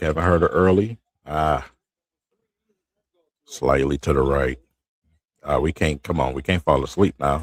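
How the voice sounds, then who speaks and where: Quietly and at a fairly slow pace, a man speaks in a very deep, low pitch with vocal fry, ordinary pitch variation and long, frequent pauses, the sound dry and close with no echo. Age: 40s. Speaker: sports streamer. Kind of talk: live game commentary.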